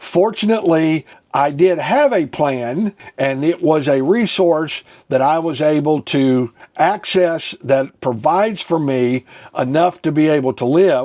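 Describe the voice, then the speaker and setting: A man's dark, mellow voice at a fairly high pitch, with ordinary pitch variation and a fairly slow pace. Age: 60s. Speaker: ministry teacher on personal finance. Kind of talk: teaching talk. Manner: conversational, with frequent fillers.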